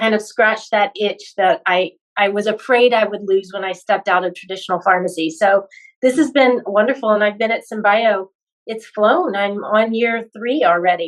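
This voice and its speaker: Enthusiastic tone at a moderate pace, with ordinary pitch variation. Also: woman, medium pitch for a woman. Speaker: pharmacist and medical recruiter. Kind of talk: casual interview chat.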